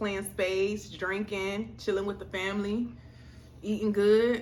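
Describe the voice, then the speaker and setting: The speech moves at a moderate pace with monotone, flat intonation. Room echo is audible. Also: woman. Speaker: food vlogger. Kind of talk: mukbang casual chat. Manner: relaxed, speaking while eating.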